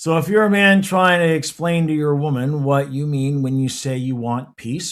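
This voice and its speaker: The recording is very clean, with a silent background. A man speaks at a moderate pace and fairly high pitch, with ordinary pitch variation. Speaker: relationship advice youtuber. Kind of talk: casual monologue. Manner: sounds irritated even when calm.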